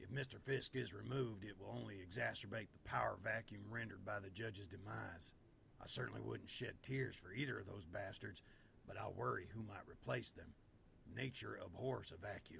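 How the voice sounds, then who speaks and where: A man's raspy, put-on character voice, fairly low in pitch, at a fairly quick pace over clear background noise. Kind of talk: genteel Southern gentleman. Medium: video game. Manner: formal, elaborate vocabulary.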